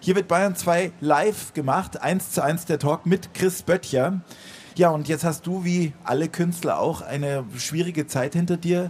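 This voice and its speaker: A man with a high voice talks at a fairly slow pace, his intonation fairly even. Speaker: radio host. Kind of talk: live radio interview. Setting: outdoor stage with live audience.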